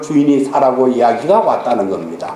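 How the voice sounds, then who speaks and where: Noticeable background noise sits under the voice, and the room gives off an audible echo. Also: man. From Gyeongsang region, South Korea. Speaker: pastor. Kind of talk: sermon.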